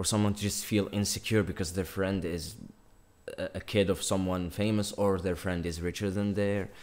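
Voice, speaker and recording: At a moderate pace, a man with an Algerian accent talks in a fairly low pitch. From North Africa. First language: Algerian Arabic. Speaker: YouTuber. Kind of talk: casual chat. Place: home room.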